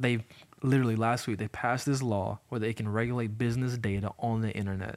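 A man with an Alabama accent speaks very fast at a medium pitch, in a flat monotone. The sound is dry and close with no echo, on a very clean recording with a silent background. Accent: Southern US (Alabama). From US South, Montgomery, Alabama. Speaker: church staff member and former tech worker. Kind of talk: casual podcast discussion.

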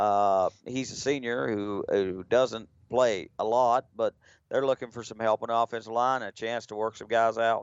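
A man speaks in a plain, everyday voice at medium pitch. His loudness swings widely. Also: fairly even intonation, moderate pace. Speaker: color analyst. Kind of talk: live sports commentary. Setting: stadium broadcast, radio. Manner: relaxed, conversational, chatty.

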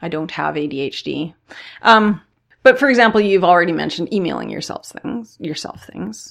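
The voice carries vocal fry and swings very widely in pitch. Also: woman, fairly low pitch for a woman, moderate pace, big swings in loudness, very clean recording, silent background. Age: 40s. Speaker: podcast host. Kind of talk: casual interview conversation.

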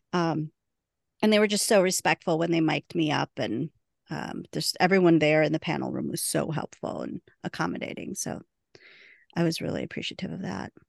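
A woman's very deep, low voice with vocal fry and ordinary pitch variation, at a fairly quick pace, dry and close with no echo. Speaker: podcast host and convention moderator. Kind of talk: casual chat.

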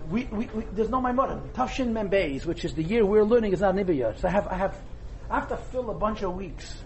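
Amid audible room echo and noticeable background noise, a man with a high pitch talks at a fairly quick pace with ordinary pitch variation. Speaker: Torah teacher. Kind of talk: lecture. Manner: whispering.

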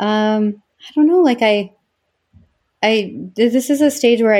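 Her pitch swings very widely. The woman speaks at a fairly slow pace in a fairly high pitch. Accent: American. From Utah. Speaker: interviewee, bishop's wife. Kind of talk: life history interview.

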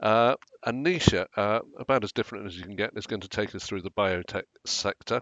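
Speaking at a fairly quick clip, a man uses a normal speaking voice pitched fairly low. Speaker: podcast host. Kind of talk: casual professional discussion. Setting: remote video call.

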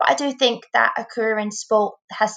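Speaking at a moderate pace, a woman with an English accent has a fairly high voice. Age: 20s. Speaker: former Paralympic swimmer, apprentice solicitor. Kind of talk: interview.

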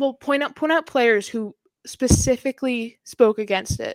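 A woman speaks at a moderate pace with fairly even intonation and an American accent. The sound is dry and close with no echo, on a very clean recording with a silent background. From Boston. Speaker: hockey podcast host. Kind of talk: casual chat.

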